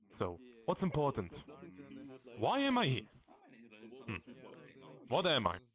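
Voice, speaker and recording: A man speaks with a strong German accent at a medium pitch, with vocal fry and very wide pitch swings. He keeps a moderate pace with long, frequent pauses. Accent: German accent, self-described as strong. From Germany, Bavaria. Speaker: tour guide in a VR community. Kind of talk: guided tour. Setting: virtual reality world with a group.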